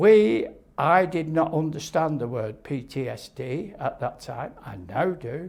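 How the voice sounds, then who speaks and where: A man with a Lancashire accent and vocal fry speaks at a fairly high pitch and a fairly slow pace, using lively intonation. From northern England, Lancashire (Little Lever). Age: 80s+. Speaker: nuclear test veteran. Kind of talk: interview testimony. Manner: halting.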